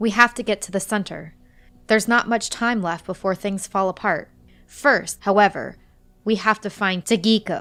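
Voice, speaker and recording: A put-on character voice, soft-spoken and raspy with a fairly high pitch, moves at a moderate pace over music in the background. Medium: read story. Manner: soft, weary, measured.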